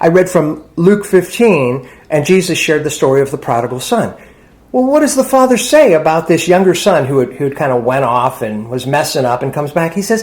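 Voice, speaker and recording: At a fairly quick pace, a man with a fairly high pitch swings his pitch very widely. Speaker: parson, church and sangha leader. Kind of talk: dharma talk / sermon. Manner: casual, conversational teaching style.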